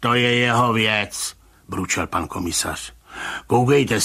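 What you hear is someone plainly reading aloud.

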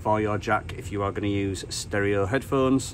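Light background noise sits behind a man whose pitch varies in an ordinary way. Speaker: radio hobbyist. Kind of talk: tutorial.

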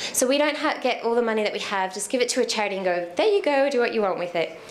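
A woman talks at a very fast pace with fairly high pitch and lively intonation. Noticeable background noise can be heard. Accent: Australian. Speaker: social enterprise co-founder. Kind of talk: talk to a meetup audience. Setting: live in-person meetup with audience. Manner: conversational, inspirational.

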